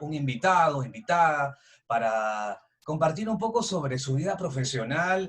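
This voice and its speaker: Man with an ordinary speaking voice, lively intonation and a moderate pace. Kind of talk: interview host.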